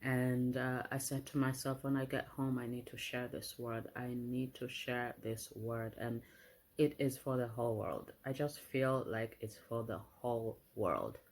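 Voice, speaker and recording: A soft-spoken woman talks at a fairly slow pace with a very deep, low pitch. Her intonation is monotone and flat. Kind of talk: prophetic message and scripture reading.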